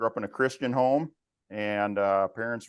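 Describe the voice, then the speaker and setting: In a Minnesotan accent, a man speaks at a moderate pace with a fairly low pitch against a quiet background. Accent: Minnesota. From west central Minnesota. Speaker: family business executive. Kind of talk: interview.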